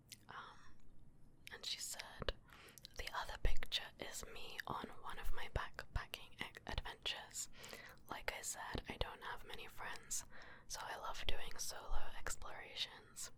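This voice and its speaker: A woman whispering at a fairly slow pace. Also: big swings in loudness. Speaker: ASMR creator. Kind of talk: ASMR whispered reading of viewer messages. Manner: soft-spoken.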